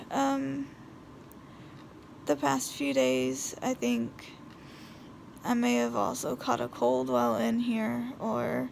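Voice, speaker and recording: Pausing long and often, a woman talks at a very slow pace in a very deep, low pitch with ordinary pitch variation. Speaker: vlogger and hospital patient. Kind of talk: casual vlog. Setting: hospital room. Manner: hesitant, many fillers.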